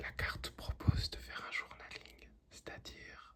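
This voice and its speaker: Someone is whispering. The pace is very slow. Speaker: ASMR tarot reader. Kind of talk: ASMR tarot reading. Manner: whispered.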